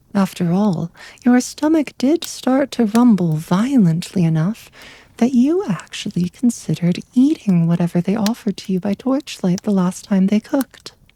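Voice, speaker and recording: Recorded with a dry, close sound and no echo, a woman speaks at a moderate pace and medium pitch, her tone dark, mellow and soothing, somewhat breathy, with lively intonation. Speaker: bedtime story narrator. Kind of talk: ASMR sleep story narration. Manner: soft, soothing narration.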